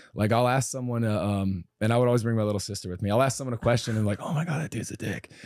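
A man with medium pitch and ordinary pitch variation talks at a very fast pace. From US Midwest, Cincinnati. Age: 30s. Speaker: kickboxing coach. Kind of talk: casual chat. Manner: halting.

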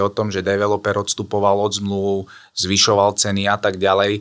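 Fairly low in pitch, this man's voice has a bright, sharp tone. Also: very clean recording, silent background. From eastern Slovakia, Trebišov. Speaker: real estate developer project manager. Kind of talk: interview.

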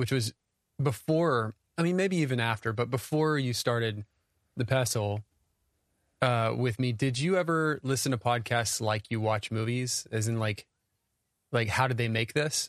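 A man with an unremarkable speaking voice talks at a moderate pace with ordinary pitch variation, the sound dry and close with no echo. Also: quiet background. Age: 40s. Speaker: podcast co-host. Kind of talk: interview. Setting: treated home studio.

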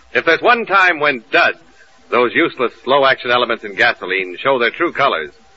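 A man talks at a fairly quick pace with very wide pitch swings. Noticeable background noise runs under his voice. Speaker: radio announcer. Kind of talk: scripted radio announcer reading, sponsor ads and introductions. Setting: old-time radio studio show with live audience. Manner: formal, polished, brisk announcer delivery.

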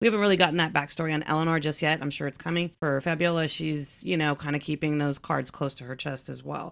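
Very clean and silent behind her, a woman with an American accent races along at a very fast pace with hardly any pauses, her pitch very deep and low with ordinary variation. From Texas. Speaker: podcast co-host. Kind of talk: casual chat.

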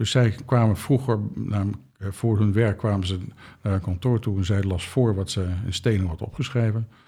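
Somewhat breathy and fairly low in pitch, a man talks at a moderate pace. His pitch varies an ordinary amount. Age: 60s. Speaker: translator and spiritual author. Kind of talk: interview.

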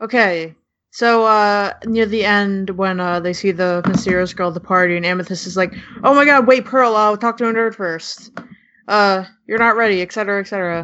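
Here a woman speaks in an ordinary speaking voice at a medium pitch. Her pace is moderate and her intonation fairly even. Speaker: podcast panelist. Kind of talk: casual chat.

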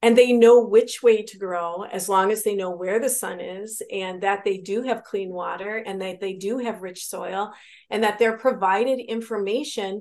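In a normal speaking voice with an American accent, a woman talks at medium pitch and a moderate pace with fairly even intonation, big swings in loudness and hardly any pauses over a quiet background. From Wisconsin. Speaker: physician and Navy veteran. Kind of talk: interview.

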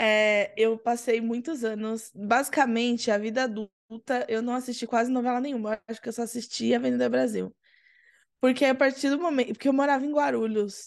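This woman speaks at a fairly quick pace with a fairly high pitch and fairly even intonation, in an unremarkable speaking voice over a quiet background. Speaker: podcast guest. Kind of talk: casual chat.

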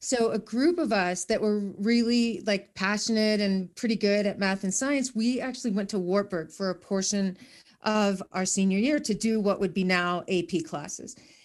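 Against a quiet background, a woman with a Midwestern American accent speaks with ordinary pitch variation. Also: medium pitch for a woman, moderate pace, hardly any pauses. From northeast Iowa, small town. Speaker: educator and professional speaker. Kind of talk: casual interview.

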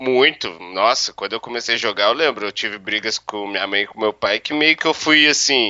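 Male speech at medium pitch and a moderate pace, an ordinary speaking voice with ordinary pitch variation. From Minas Gerais, Brazil. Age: 30s. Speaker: professional poker player. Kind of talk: interview.

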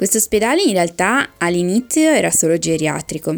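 A normal speaking voice moves along rather quickly. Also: woman. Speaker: pharmacist. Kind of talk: interview. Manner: scripted-sounding reading.

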